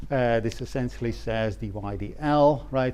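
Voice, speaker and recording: This man speaks with a non-native accent at a medium pitch, his intonation fairly even. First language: not English. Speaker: economics lecturer. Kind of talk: lecture. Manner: hesitant, many filler words.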